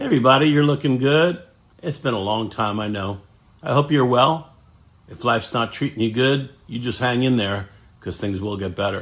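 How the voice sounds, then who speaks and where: Here is a normal speaking voice from a man, medium in pitch. He moves at a fairly quick pace with ordinary pitch variation. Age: 60s. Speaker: sailing vlogger. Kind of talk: personal storytelling to camera.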